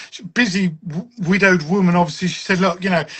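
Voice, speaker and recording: A man speaks in a southern English accent. His pitch is high. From southern England, Westcliff-on-Sea, Essex. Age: 60s. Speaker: wargaming author and designer. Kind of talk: casual chat.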